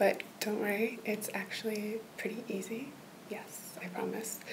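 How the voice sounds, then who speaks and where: Over light background noise, a woman talks at a fairly slow pace. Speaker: role-play language tutor. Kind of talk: soft-spoken role-play tutoring. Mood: gentle, reassuring. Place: home room. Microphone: webcam.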